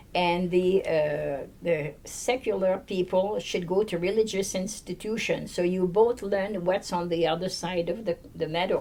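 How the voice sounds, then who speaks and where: A woman with a French Canadian accent has a dark, mellow tone. She talks at a fairly slow pace with hardly any pauses. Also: medium pitch for a woman. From Quebec. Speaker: nun. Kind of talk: oral history interview.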